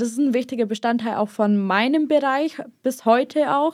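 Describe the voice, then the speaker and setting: A woman with a fairly high pitch and an ordinary speaking voice talks at a moderate pace with ordinary pitch variation. The recording is very clean, with a silent background. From Bavarian Swabia, southern Germany. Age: young. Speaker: apprentice industrial clerk. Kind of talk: interview.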